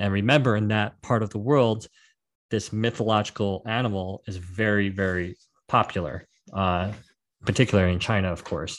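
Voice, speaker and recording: At a moderate pace, a man with an ordinary speaking voice talks at a fairly low pitch over a quiet background. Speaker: produce industry guest. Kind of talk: history documentary narration. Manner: measured, read-aloud storytelling.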